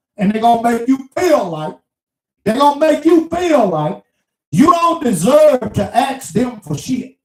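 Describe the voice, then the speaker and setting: Using very wide pitch swings, a man with an extremely high pitch speaks at a fairly slow pace. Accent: Mississippi. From US South, small town Mississippi. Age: 60s. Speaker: truck driver vlogger. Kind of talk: casual monologue rant.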